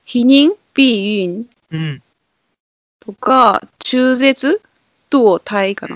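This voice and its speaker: A woman's fairly high voice with very wide pitch swings, in a dry, close sound with no echo. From Kansai, Japan. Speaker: regular podcast guest. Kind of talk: casual chat.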